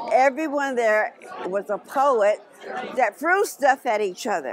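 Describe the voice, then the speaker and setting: A woman with an American accent speaks at a fairly slow pace in a high pitch. Her pitch swings very widely, and crowd noise sits in the background. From Oakland, California. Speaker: musician and performer. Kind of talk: interview answer. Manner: casual, brash.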